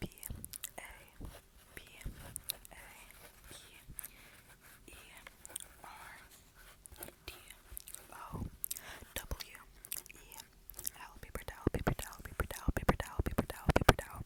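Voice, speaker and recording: Whispering at a fairly quick pace with long, frequent pauses, a woman keeps a calm tone while her loudness swings widely, the sound dry and close with no echo and noticeable background noise behind her. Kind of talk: ASMR video. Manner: whispered; quiet, calm.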